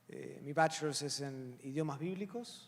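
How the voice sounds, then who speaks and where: A man with an Argentine accent. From Argentina. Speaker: pastor and seminary professor. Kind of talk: panel Q&A introduction. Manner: hesitant, many fillers.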